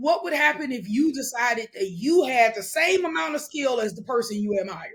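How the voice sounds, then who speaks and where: An animated tone at a moderate pace, with hardly any pauses. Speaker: wealth coach. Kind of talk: podcast interview. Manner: loud.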